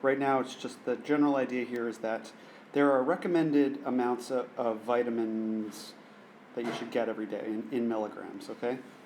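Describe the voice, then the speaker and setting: His intonation stays fairly level. This man has a plain, everyday voice pitched in the middle range for a man. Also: fairly quick pace. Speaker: math teacher. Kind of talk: lesson.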